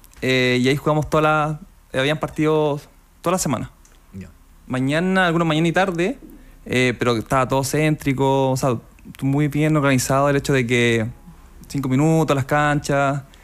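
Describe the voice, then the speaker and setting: Speaking at a moderate pace with long, frequent pauses, a man uses a fairly high pitch and ordinary pitch variation. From Chile, Coquimbo region (La Serena); Coquimbo, Chile. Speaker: transplant footballer; radio interview guest. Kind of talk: radio interview. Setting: radio studio. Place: studio. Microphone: studio mic.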